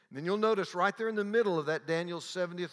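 A man talks with a Southern US accent in a tone that is warm yet bright and sharp. The recording is very clean, with a silent background. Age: 70s. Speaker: theology teacher. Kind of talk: lecture. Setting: stage with audience. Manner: warm, humorous.

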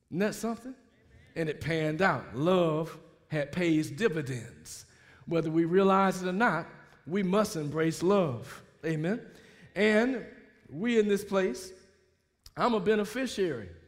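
A man with an American accent speaks in a high voice at a fairly slow pace, his intonation lively and his long pauses frequent, with audible room echo. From US South, Mobile, Alabama. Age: 60s. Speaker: pastor. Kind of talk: sermon. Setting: church.

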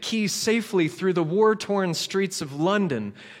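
Ordinary pitch variation from a natural reading voice

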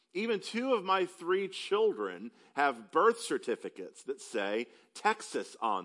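The speaker has a Southern US accent. The pace is fairly slow. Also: man, big swings in loudness. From upstate South Carolina. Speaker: preacher. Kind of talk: sermon. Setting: church.

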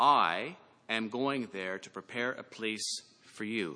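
A man with a Canadian accent and a medium-pitched, bright, sharp voice, with ordinary pitch variation. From Canada. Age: 40s. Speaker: pastor. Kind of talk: sermon.

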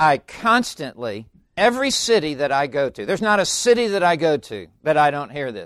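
A man with a fairly high pitch sounds animated, his voice making very wide pitch swings. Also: moderate pace. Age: 70s. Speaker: preacher. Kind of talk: sermon. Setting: church.

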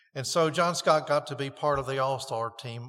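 A normal speaking voice with an American accent, moderate pace and ordinary pitch variation. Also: man. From North Carolina. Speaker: pastor. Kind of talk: sermon. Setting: church.

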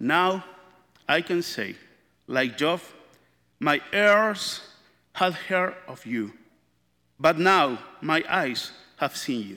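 Delivered in a Spanish accent, the speech is very slow, broken by long, frequent pauses. The tone is bright and sharp, with lively intonation and big swings in loudness. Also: man, fairly high pitch for a man. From Chile. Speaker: church member, father. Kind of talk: testimony.

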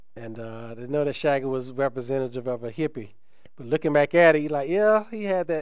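Using a normal speaking voice, a man talks at a fairly quick pace with a fairly high pitch, lively intonation and big swings in loudness. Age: 50s. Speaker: pastor. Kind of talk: sermon. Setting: church.

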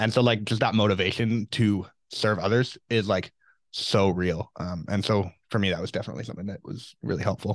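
Against a quiet background, a man with a fairly low pitch and an ordinary speaking voice talks at a fairly quick pace. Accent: Canadian. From British Columbia, Canada. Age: 20s. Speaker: Bible college student on missions team. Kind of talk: casual interview chat.

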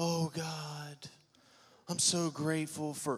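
A man's put-on character voice, fairly high in pitch, monotone and flat, at a very slow pace. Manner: pious, solemn.

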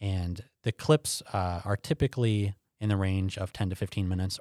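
In a very clean recording with a silent background and a dry, close sound with no echo, a man uses a plain, everyday voice, fairly low in pitch with ordinary pitch variation. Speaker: pastor and Bible teacher. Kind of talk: interview conversation.

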